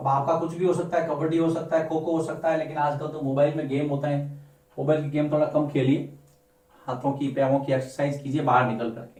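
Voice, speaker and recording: With a Rajasthani accent, a man speaks in a fairly high, monotone, flat voice amid audible room echo and noticeable background noise. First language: Marwari (speaking Hindi). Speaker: teacher. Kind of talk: lecture.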